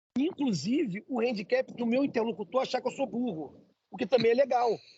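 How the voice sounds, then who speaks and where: An animated man's voice, extremely high in pitch, with a Brazilian accent. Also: ordinary pitch variation, fairly quick pace. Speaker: entrepreneur, immigrant. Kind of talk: interview. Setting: coffee shop.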